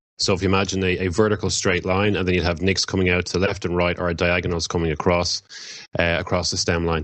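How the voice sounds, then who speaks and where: In a very deep, low voice, a man with an Irish accent talks very fast in a flat monotone. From Ireland. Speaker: occult practitioner. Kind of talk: podcast interview. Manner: halting, many fillers.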